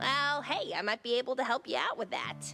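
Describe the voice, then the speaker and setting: A female-sounding, high-pitched put-on character voice moves at a fairly quick pace over clear background music. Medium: video game. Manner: casual, jokey.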